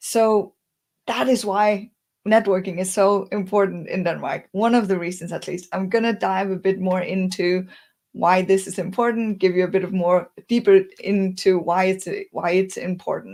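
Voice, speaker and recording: A woman of medium pitch speaks at a moderate pace in a plain, everyday voice with fairly even intonation. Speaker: career coach and speaker. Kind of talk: webinar presentation.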